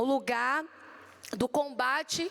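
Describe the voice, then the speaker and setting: A woman with a Bahian accent speaks at a high pitch. The sound is dry and close with no echo, though background noise is noticeable. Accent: Bahian accent (from Salvador), noticeable. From Brazil, Salvador, Bahia. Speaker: pharmacist. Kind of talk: conference talk. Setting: stage with audience at expo.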